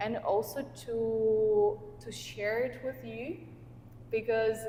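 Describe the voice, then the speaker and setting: A woman speaks over noticeable background noise. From Russia. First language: Russian. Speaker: life coach and podcast host. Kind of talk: casual conversation. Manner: halting.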